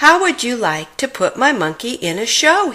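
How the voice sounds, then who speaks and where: Very wide pitch swings in a woman's high, put-on character voice, at a moderate tempo. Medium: read story. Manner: wheedling, greedy.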